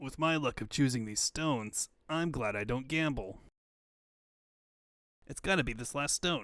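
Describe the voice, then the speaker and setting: In a put-on character voice of medium pitch, a man speaks at a moderate pace with long, frequent pauses, on a very clean recording with a silent background. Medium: fan dub. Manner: cocky, slangy.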